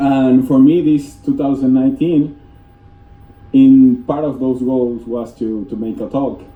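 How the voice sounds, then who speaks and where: Speaking with a Spanish accent, a man holds a medium pitch and fairly even intonation at a fairly slow pace, with audible room echo and noticeable background noise. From Venezuela, east coast. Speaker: software developer. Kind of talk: conference talk. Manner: halting.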